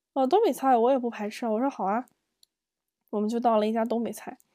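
Against a silent background on a very clean recording, a woman speaks in a fairly high pitch with a dark, mellow tone. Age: 30s. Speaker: solo podcast host. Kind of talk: personal storytelling monologue. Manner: hesitant, many fillers.

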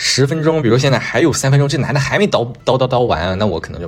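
The speech moves at a very fast pace with lively intonation. Noticeable background noise runs underneath. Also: man. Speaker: podcast host. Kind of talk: casual solo monologue. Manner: hesitant with frequent fillers and repetitions.

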